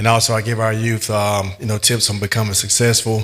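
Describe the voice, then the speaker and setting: A man speaks in an Alabama accent at a medium pitch. His tone is bright and sharp, his intonation flat and monotone. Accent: US South (Alabama). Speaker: motivational speaker. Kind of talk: motivational speech.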